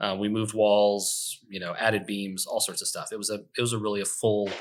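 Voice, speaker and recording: A man's fairly low, monotone, flat voice at a fairly quick pace. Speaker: real estate investor. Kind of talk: podcast interview. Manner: fast; hesitant fillers.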